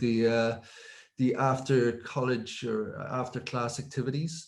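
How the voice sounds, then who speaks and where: Fairly slow, fairly even-toned speech from a man. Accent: Dublin. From Ireland, North Dublin (Finglas). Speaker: technology executive. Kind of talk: interview. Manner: hesitant, many fillers.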